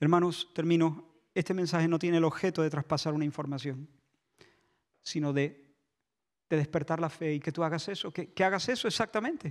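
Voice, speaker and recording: Over a quiet background, a man speaks at a fairly quick pace with long, frequent pauses. His pitch is fairly high and his intonation fairly even. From Spain. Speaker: pastor. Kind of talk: sermon. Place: church. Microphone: handheld.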